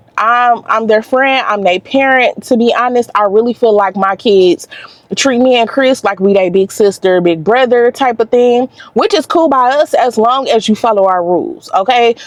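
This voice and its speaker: Over noticeable background noise, a woman speaks in an animated tone at a high pitch, with lively intonation and very even loudness. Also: moderate pace. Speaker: vlogger. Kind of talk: casual chat. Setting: in a car. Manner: halting.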